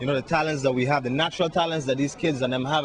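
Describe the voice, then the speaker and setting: A man with an American accent talks at a fairly high pitch over noticeable background noise. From US Virgin Islands. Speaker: musician. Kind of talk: interview.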